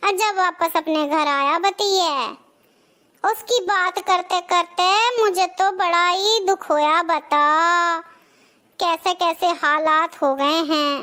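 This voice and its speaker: A woman puts on a cartoonish character voice, extremely high in pitch and very slow, with ordinary pitch variation and very even loudness. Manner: chatty, gossipy.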